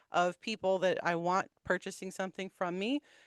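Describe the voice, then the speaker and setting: A woman's medium-pitched voice, dry and close with no echo. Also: quiet background. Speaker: podcast co-host. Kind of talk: casual chat. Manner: quiet; soft-spoken.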